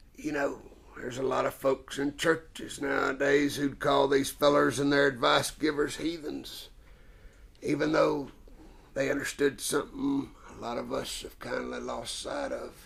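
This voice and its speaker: A man puts on a raspy character voice at a fairly high pitch. He speaks at a moderate pace with big swings in loudness. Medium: stage play. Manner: folksy, drawling, homespun.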